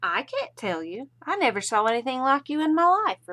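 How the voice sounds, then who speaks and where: A female-sounding voice puts on a character voice at a high pitch, with very wide pitch swings and a moderate pace. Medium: read story. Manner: saucy, mocking.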